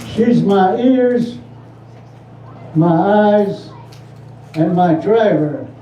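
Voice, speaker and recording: A man with an American accent speaks very slowly, with long, frequent pauses and lively intonation at a high pitch. The room echo is audible. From Navajo Nation, US Southwest. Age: 90s. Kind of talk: public speech at community forum.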